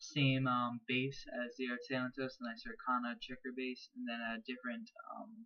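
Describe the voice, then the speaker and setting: Hardly any pauses break the moderate pace of this speech over a quiet background. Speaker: toy figure reviewer. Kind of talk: product review. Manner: hesitant, many filler ums; casual, enthusiastic. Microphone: webcam.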